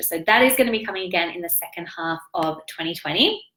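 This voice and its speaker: A woman with an Australian accent, a bright, sharp tone and lively intonation. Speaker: business coach and online entrepreneur. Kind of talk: live stream business update. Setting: live video stream. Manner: animated.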